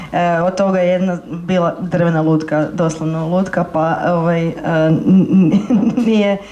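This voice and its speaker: A woman at a moderate pace with fairly even intonation and very even loudness, with audible room echo and noticeable background noise. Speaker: interpreter. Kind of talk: consecutive interpreting. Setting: library stage with audience. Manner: halting.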